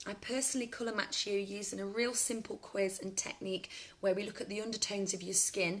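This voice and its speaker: Speaking fairly quickly, a woman uses a British accent. Her delivery keeps up a brisk rate. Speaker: makeup seller and beauty demonstrator. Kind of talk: live makeup tutorial and sales pitch. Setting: live stream on Facebook. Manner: fast; animated.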